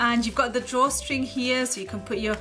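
Over clear music in the background, a woman speaks with a high pitch. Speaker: toy reviewer. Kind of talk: unboxing commentary.

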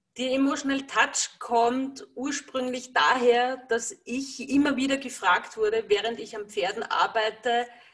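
Against a quiet background, a woman speaks very slowly in a high voice. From Lower Austria. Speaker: energy healer working with horses; interviewee. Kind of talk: interview. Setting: video call. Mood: calm, warm. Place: home room. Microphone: video call.

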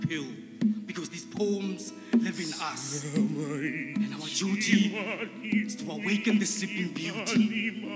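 A man talks very slowly. Background music can be heard behind him. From South Africa. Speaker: spoken word artist. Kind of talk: spoken word poetry performance. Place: stage. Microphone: handheld.

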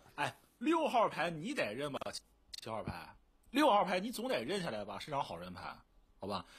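Big swings in loudness, long, frequent pauses, moderate pace. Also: man. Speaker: werewolf game player; game streamer. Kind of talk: game discussion. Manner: animated. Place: home room.

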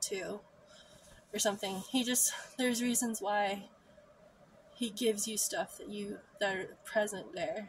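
Somewhat breathy and medium in pitch, a woman speaks fairly slowly with ordinary pitch variation over light background noise, the sound dry with no echo. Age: 30s. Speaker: vlogger. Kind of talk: personal storytelling monologue. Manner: frequent laughter. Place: home room. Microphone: phone near.

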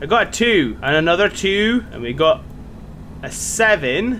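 Very wide pitch swings mark this voice with a Scottish accent, heard over light background noise. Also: man. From Scotland. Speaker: gaming YouTuber. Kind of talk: let's play commentary. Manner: excitable, swearing. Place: home room. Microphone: headset.

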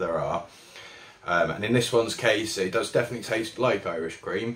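The man speaking moves at a fairly quick pace. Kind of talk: product review talk. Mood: relaxed, appreciative. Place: shop. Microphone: phone near.

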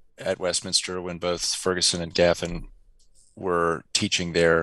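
A man speaks with a very deep, low pitch and a bright, sharp tone. The sound is dry with no echo, over a quiet background. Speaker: remote interview guest. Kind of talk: interview answer. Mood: warm, reflective. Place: home room. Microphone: headset.

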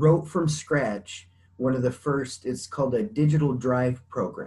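This man's voice has a dark, mellow tone and is somewhat breathy. He talks at a fairly slow pace with lively intonation. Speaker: interview guest. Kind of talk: interview answer. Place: home room. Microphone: video call.

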